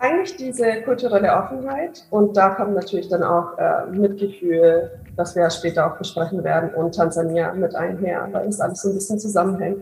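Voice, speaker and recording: Amid noticeable background noise, a woman with a medium pitch and ordinary pitch variation talks at a moderate pace with hardly any pauses. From Bavaria, near Augsburg. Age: 20s. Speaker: charity founder. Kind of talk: interview.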